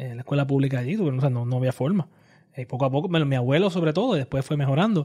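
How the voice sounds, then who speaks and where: At a very fast pace, a man with a fairly high pitch speaks in a dark, mellow, somewhat breathy tone with ordinary pitch variation. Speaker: political podcast co-host. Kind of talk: casual political discussion.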